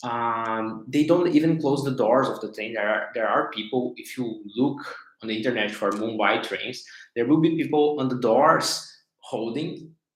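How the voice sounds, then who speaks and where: In a Portuguese accent, a man with a medium-pitched voice and ordinary pitch variation speaks at a moderate pace, with audible room echo. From Brazil. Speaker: life coach / facilitator. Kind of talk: live stream talk. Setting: livestream on social media. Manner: halting, many repetitions and fillers.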